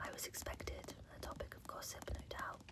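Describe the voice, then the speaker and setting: A fairly slow whisper is heard with noticeable noise in the background. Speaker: ASMR creator. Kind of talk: ASMR bedtime reading. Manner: soft-spoken, whispered.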